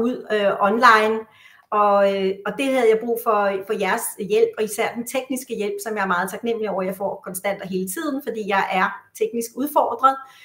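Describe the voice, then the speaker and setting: A woman's fairly high voice moves at a moderate pace, its pitch varying in an ordinary way. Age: 60s. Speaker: psychotherapist. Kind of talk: interview. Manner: halting, many fillers.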